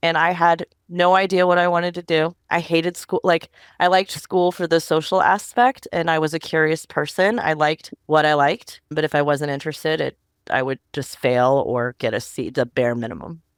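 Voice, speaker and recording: With an unremarkable speaking voice, a woman talks at a moderate pace in a fairly low pitch with ordinary pitch variation, recorded dry and close with no echo, very clean, against a silent background. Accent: American. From US East Coast (Northern Virginia). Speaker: tech policy specialist. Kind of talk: interview conversation. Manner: casual, conversational with many fillers.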